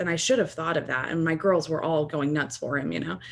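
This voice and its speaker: With an American accent, a woman speaks at a fairly low pitch. Her pace is fairly quick and her pitch variation ordinary. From rural Texas. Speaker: teacher educator. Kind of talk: podcast interview. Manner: casual, filler-heavy.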